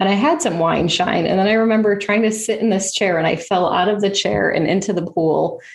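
A woman talks at a fairly quick pace with hardly any pauses and very even loudness. Her pitch varies in an ordinary way, and there is noticeable background noise. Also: medium pitch for a woman. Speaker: podcast host and swallowing specialist. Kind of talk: casual interview chat.

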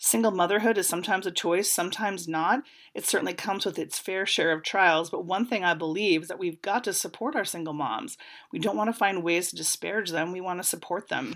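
A woman talks very fast at a medium pitch with ordinary pitch variation. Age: 40s. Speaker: podcast host. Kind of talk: solo commentary podcast. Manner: casual with frequent fillers.

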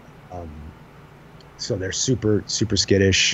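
A man speaks in a very deep, low voice that is somewhat breathy. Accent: American. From Long Island, New York. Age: 40s. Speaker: hunting podcaster. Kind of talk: casual chat.

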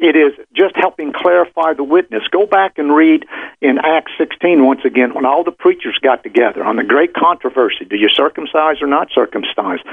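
This is a normal speaking voice from a man, pitched fairly high. He moves at a fairly quick pace with ordinary pitch variation. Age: 60s. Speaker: business consultant. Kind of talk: interview.

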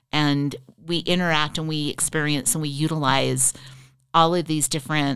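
A woman's very deep, low voice with vocal fry, ordinary pitch variation and a Western US accent, on a very clean recording with a silent background. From Utah, Riverton. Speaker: former state legislator. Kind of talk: interview.

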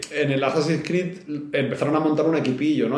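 A man talking at a very fast pace, with noticeable background noise and audible room echo. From Spain (Barcelona). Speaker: video game VFX artist. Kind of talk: casual interview chat.

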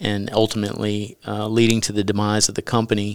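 On a very clean recording with a silent background, a man talks at a fairly low pitch in a Texan accent. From US South. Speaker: author and former company CEO. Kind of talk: interview testimony.

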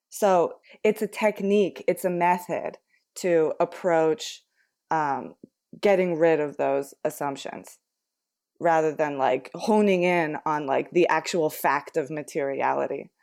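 With a plain, everyday voice, a woman in an American accent speaks at a fairly slow pace and fairly low pitch, with ordinary pitch variation, on a very clean recording with a silent background. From United States. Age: 20s. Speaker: podcast co-host. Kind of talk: casual chat.

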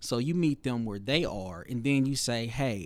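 A man's medium-pitched voice at a moderate pace, on a very clean recording with a silent background. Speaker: storyteller and filmmaker. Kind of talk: interview conversation.

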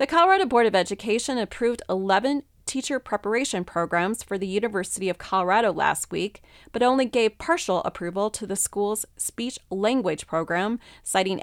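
A plain, everyday voice goes at a fairly quick pace with ordinary pitch variation. The recording is very clean, with a silent background and a dry, close sound with no echo. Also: woman. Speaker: news reader. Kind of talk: news reading. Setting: studio.

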